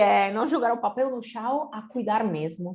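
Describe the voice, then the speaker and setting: Against a quiet background, a woman with an Italian accent speaks fairly slowly in a fairly high pitch, her voice moving through very wide pitch swings. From Italy. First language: Italian (speaking Portuguese). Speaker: company co-founder. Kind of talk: lecture.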